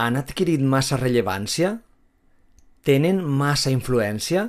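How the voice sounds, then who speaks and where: A man with a Valencian accent speaks at a very slow pace. His pitch is medium and his intonation lively. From Valencia, Spain. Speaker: language teacher. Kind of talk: slow simple narration for language learners.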